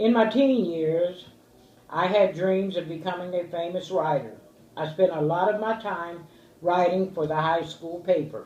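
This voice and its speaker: A woman's fairly low voice with an American accent, ordinary pitch variation and a fairly slow pace, plus audible room echo and noticeable background noise. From US Midwest, Dayton, Ohio. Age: 60s. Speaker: interviewee, grandmother. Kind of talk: family oral history interview.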